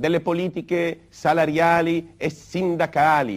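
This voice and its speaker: Against a quiet background, a high-voiced man speaks at a very slow pace. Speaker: labor movement leader. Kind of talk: 1960s political speech. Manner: formal; earnest, oratorical. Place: studio.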